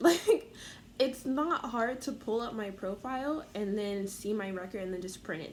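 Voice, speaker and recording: A woman is speaking. Her intonation is lively. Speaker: vlogger. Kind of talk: rant. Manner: fast; animated.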